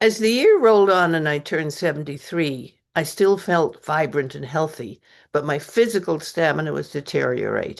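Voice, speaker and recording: Over a quiet background, a woman with very deep, low pitch and vocal fry talks at a moderate pace with lively intonation and hardly any pauses. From English Canada. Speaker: author and retired costume designer. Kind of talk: reading aloud from own memoir. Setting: open mic reading event.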